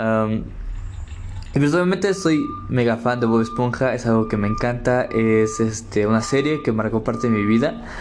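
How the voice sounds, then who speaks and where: A man's medium-pitched voice at a moderate pace, with ordinary pitch variation, very even loudness, audible room echo and noticeable background noise. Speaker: podcast host. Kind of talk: casual solo monologue. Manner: halting with many fillers.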